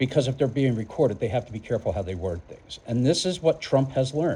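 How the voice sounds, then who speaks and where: Somewhat breathy, a man with an American accent talks at a very fast pace and medium pitch with lively intonation. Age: 60s. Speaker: political vlogger. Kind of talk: political commentary monologue. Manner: halting, repeats words.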